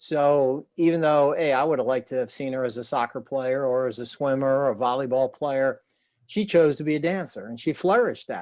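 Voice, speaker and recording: An ordinary speaking voice comes from a man with an American accent and a fairly high pitch. He moves at a fairly quick pace with ordinary pitch variation. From New Jersey, Trenton. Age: 60s. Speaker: former athlete and author. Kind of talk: interview.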